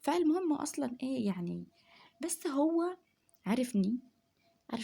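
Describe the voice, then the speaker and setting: Soft-spoken and somewhat breathy, a woman talks in a dark, mellow tone with lively intonation. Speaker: home vlogger. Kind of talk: casual chat. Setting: at home at night.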